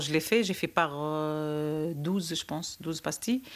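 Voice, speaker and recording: Very slowly, a woman talks on a very clean recording where the background is silent. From Tunisia, Djerba. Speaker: childminder. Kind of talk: casual interview. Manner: hesitant.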